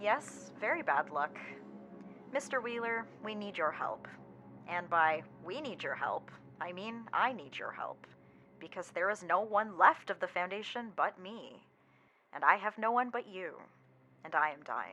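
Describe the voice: Using a put-on character voice, a woman speaks at a fairly slow pace with big pitch swings and a bright, sharp tone while faint music plays in the background. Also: fairly low pitch for a woman.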